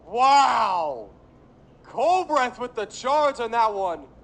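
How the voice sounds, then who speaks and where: A man's extremely high voice with lively intonation. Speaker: sports play-by-play announcer. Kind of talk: baseball play-by-play commentary. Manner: energetic, excited on big plays.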